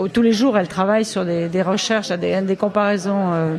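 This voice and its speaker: Audible room echo and noticeable background noise surround a woman's medium-pitched voice, which keeps a fairly even intonation. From Burgundy, France (Côte-d'Or, near Dijon). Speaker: author and retired police commissioner. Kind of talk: radio interview. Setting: live radio broadcast from a café.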